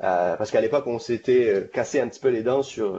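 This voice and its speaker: Here is a man with a medium pitch and an unremarkable speaking voice. His pace is moderate and his pitch varies in an ordinary way. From France. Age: 40s. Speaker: software engineer, technical lead. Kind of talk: technical interview.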